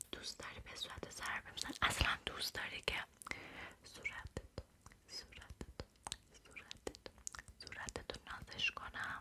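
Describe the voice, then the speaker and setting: Whispering in a soothing tone at a fairly slow pace, with long, frequent pauses and noticeable background noise. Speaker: ASMR creator. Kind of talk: Persian ASMR talk, affectionate. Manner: whispered, soothing.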